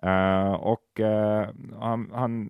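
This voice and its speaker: A man talks in a fairly low pitch. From Finland. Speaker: podcast host. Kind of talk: casual chat.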